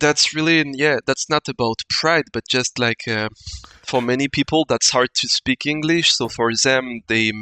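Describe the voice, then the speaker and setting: A man with a French accent speaks at a fairly slow pace and medium pitch. His intonation stays fairly even. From France, Ardèche. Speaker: wargaming community member. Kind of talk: casual chat. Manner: halting.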